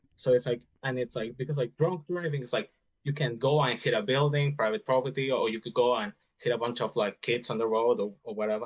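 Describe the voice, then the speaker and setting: Very fast speech from a medium-pitched man with a non-native accent and ordinary pitch variation. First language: not English. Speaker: caller in debate. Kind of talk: casual debate.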